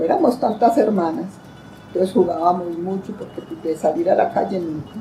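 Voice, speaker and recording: A woman at a moderate pace, with noticeable background noise. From Colombia, Valle del Cauca. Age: old. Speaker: grandmother giving life testimony. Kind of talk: testimony.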